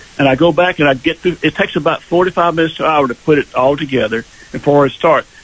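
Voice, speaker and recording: Over noticeable background noise, a man with an American accent speaks at a very fast pace and a fairly high pitch. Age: 70s. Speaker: singer-songwriter. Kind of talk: radio interview. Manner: halting.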